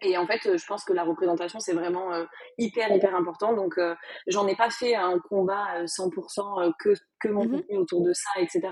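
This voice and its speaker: A woman with a medium-pitched voice speaks at a moderate pace and with fairly even intonation, against noticeable background noise. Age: 20s. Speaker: content creator and business owner. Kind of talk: interview.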